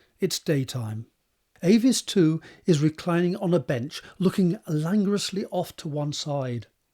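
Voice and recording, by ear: At a moderate pace, a man with a fairly high, slightly mellow voice speaks with lively intonation.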